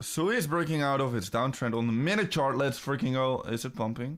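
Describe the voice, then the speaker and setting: Speaking at a moderate pace with a slight Dutch accent, a man keeps a medium pitch and ordinary pitch variation in a very clean recording with a silent background. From Netherlands. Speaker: crypto trading streamer. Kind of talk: live stream chat. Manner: animated.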